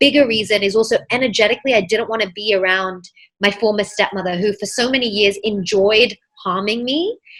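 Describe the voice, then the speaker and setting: In a British accent, a woman talks at a fairly quick pace with ordinary pitch variation. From England, then US from age 11. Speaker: mindset coach. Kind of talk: podcast interview.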